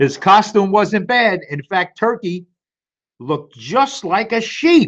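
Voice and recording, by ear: A man with a high pitch, at a slow pace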